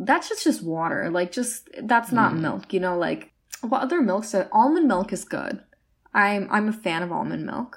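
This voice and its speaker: The speaker has an animated tone and lively intonation. There is vocal fry, and the pace is moderate. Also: woman, medium pitch for a woman. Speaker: college student podcast co-host. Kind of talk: casual chat.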